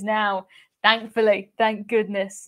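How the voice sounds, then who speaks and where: Against a quiet background, a woman speaks. Her pace is moderate. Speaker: travel vlogger hosting a live stream. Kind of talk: casual live stream chat. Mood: cheerful, chatty. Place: home room. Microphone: webcam.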